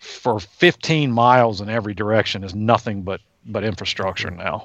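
With an American accent, a man talks at a moderate pace in an unremarkable speaking voice, his pitch varying in an ordinary way. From Virginia, US. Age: 50s. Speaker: wildlife scientist. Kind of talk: casual interview.

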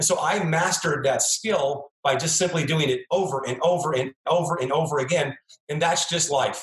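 At a moderate pace, a man with an American accent talks at a fairly high pitch with ordinary pitch variation. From United States. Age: 50s. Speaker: chiropractor turned entrepreneur. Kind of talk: interview. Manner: animated.

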